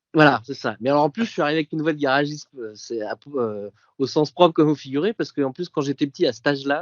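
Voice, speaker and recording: A man's fairly high voice races along at a very fast pace with ordinary pitch variation. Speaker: podcast guest, print production manager. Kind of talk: casual interview, personal recollection. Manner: hesitant, many fillers.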